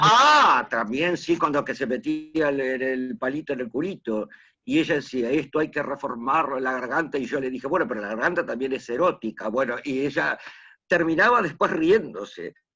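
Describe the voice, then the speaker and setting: The background is quiet as a man talks in a bright, sharp tone. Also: fairly high pitch for a man, lively intonation, moderate pace. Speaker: oral storyteller, teacher. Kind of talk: interview answer, anecdotal.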